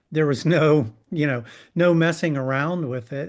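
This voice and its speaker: This is an ordinary speaking voice. It moves at a fairly slow pace with ordinary pitch variation. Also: man. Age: 60s. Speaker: film writer and producer. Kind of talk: panel discussion.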